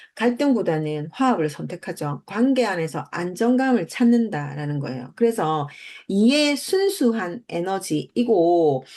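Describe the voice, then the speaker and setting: At a fairly slow pace, a woman with a medium-pitched voice makes very wide pitch swings against a quiet background. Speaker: numerology channel host. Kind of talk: lecture. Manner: hesitant, filler-heavy.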